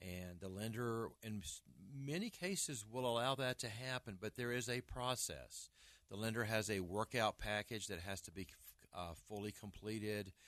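Speaking at a moderate pace with an American accent, a man uses an ordinary speaking voice, fairly low in pitch, with ordinary pitch variation. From Arkansas, US South. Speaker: real estate broker and agent trainer. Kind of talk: radio talk show interview. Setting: radio studio.

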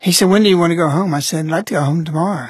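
A man at a very fast pace, high in pitch, with ordinary pitch variation. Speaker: radio broadcaster and Marian devotee recovering from heart attack. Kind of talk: personal testimony, recounting his hospital recovery and spiritual experiences. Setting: radio studio. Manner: earnest, reflective, devout storytelling with a touch of humor.

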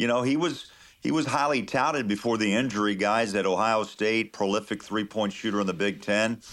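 With an American accent, a man speaks in a normal speaking voice, fairly low in pitch, at a fairly quick pace with ordinary pitch variation and very even loudness. It is a very clean recording with a silent background. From Kansas. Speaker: NBA play-by-play announcer. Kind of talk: radio interview.

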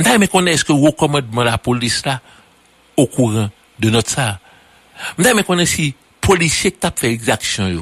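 Speaking at a moderate pace, a man uses a fairly high voice with very wide pitch swings and long, frequent pauses. The sound is dry and close, with no echo. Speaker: political commentator. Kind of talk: radio political commentary.

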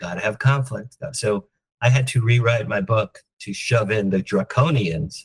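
A man talks at a medium pitch and a fairly slow pace, with ordinary pitch variation. His somewhat breathy voice has a dry, close sound with no echo. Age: 60s. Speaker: entertainment publicist. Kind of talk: interview.

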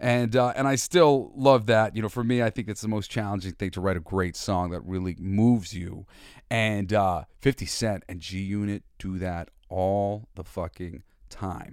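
In a very clean recording with a silent background, a man with an American accent speaks at a fairly slow pace in an ordinary speaking voice, fairly low in pitch with ordinary pitch variation. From New York. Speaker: podcast host and musician. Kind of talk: casual monologue.

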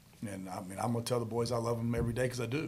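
In a room with audible echo, a man speaks very fast at a medium pitch, sounding somewhat breathy. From Charlotte, North Carolina. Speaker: football coach. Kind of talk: casual interview.

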